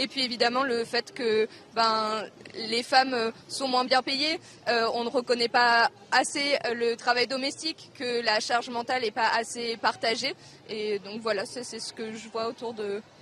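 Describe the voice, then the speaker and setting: Her pitch is fairly high and her intonation fairly even. The woman speaks at a very slow pace. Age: young. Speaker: primary school teacher. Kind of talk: live interview. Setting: outdoor street demonstration.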